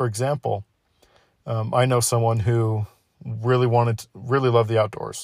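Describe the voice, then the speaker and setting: A man's medium-pitched, somewhat breathy voice at a moderate pace, flat and monotone, on a very clean recording with a silent background. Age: 20s. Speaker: podcast host. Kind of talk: casual monologue.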